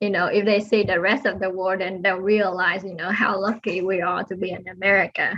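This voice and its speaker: A woman speaks at a fairly quick pace with hardly any pauses and flat, monotone intonation. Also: medium pitch for a woman. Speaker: aerospace engineer. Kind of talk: interview. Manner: soft-spoken; halting.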